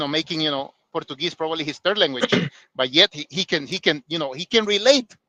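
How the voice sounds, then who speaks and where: Talking at a very fast pace with a bright, sharp tone, this voice has ordinary pitch variation, a Spanish accent, and a dry, close sound with no echo. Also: man. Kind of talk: casual chat. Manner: halting, many fillers.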